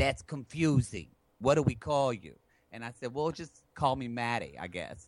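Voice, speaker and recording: An animated man speaks at a moderate pace, his medium-pitched voice full of lively intonation and big swings in loudness. The recording is very clean, with a silent background. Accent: American. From southern Oklahoma. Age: 30s. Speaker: therapist, actor and podcast host. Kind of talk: interview conversation.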